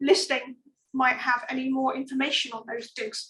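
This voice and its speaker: In an English accent, a woman speaks at a moderate pace with a high pitch. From England. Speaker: archaeologist. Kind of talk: lecture. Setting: online talk.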